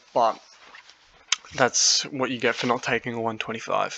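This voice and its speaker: Speaking with an Australian accent, a man holds a medium pitch and fairly even intonation. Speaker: fantasy football youtuber. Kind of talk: casual monologue review. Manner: hesitant, many fillers.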